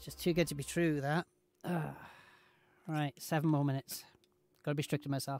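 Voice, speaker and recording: A man's fairly high voice in a British accent, fairly quick but with long, frequent pauses, monotone and flat, with big swings in loudness and dry sound with no echo. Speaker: gaming streamer. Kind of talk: casual chat while gaming livestream. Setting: home livestream. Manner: loud, radio-style projection. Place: home room.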